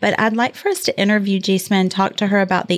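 Over a silent background in a very clean recording, a woman speaks with fairly even intonation in an ordinary speaking voice. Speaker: podcast co-host. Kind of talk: casual chat.

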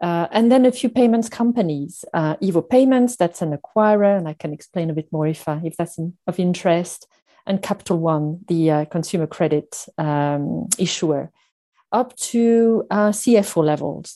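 Against a quiet background, a woman with a slight French accent speaks fairly low, her tone dark and mellow and her intonation lively. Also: moderate pace, dry, close sound with no echo. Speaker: finance executive. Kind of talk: interview. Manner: halting, many fillers.

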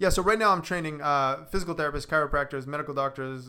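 A man's bright, sharp, fairly high voice with an American accent and fairly even intonation, in a very clean recording with a silent background. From Boston. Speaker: physical therapist. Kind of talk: radio interview. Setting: studio.

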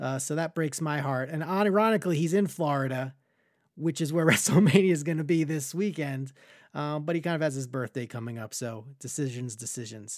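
A man with an American accent has a plain, everyday voice, fairly high in pitch with ordinary pitch variation. He talks at a fairly quick pace in a very clean recording with a silent background. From Long Island, New York. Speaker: podcast host. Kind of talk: casual interview chat.

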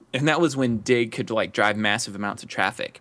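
A man talks at a fairly quick pace. His is an unremarkable speaking voice. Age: 30s. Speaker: entrepreneur. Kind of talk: interview.

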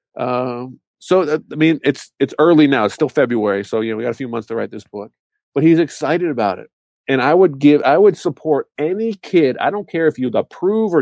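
Speaking at a moderate pace, a man with a plain, everyday voice uses lively intonation at a fairly high pitch. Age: 30s. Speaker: e-commerce entrepreneur and parent. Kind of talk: casual interview.

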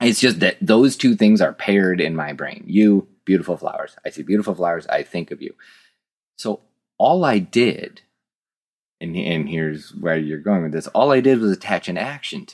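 In an animated tone, a man speaks with big swings in loudness, the sound dry and close with no echo on a very clean recording with a silent background. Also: moderate pace. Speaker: partner of the host. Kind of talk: casual chat.

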